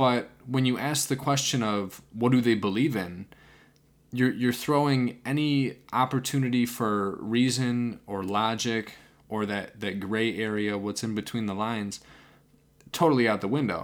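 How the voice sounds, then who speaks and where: A man's medium-pitched voice with ordinary pitch variation at a fairly slow pace, on a very clean recording with a silent background. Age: 20s. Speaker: podcast host. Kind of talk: solo monologue. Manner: hesitant, many fillers.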